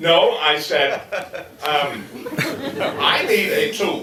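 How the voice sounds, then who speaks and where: Audible room echo and noticeable background noise both surround the man speaking. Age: 60s. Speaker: school founder. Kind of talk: interview.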